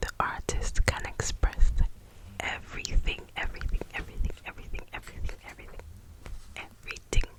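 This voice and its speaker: Someone whispers over noticeable background noise. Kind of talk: soft whispered book reading, ASMR. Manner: whispered, soft-spoken.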